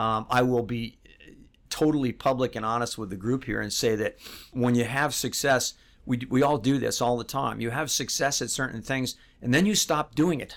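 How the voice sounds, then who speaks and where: The recording is very clean, the background silent. A man speaks at a moderate pace and medium pitch with ordinary pitch variation. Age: 60s. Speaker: financial advisor, firm founder. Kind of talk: interview. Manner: hesitant, many fillers.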